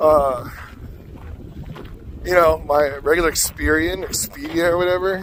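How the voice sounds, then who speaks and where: Amid noticeable background noise, a man with a high pitch speaks at a fairly slow pace, with ordinary pitch variation and long, frequent pauses. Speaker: vlogger and singing teacher. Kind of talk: casual vlog. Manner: rambling, casual.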